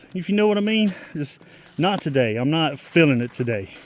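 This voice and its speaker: A man talks over noticeable background noise. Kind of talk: casual vlog monologue. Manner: halting.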